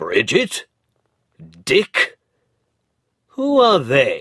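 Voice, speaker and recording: A man puts on a character voice. It is gruff and pitched extremely high. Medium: read story. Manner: gruff, curt.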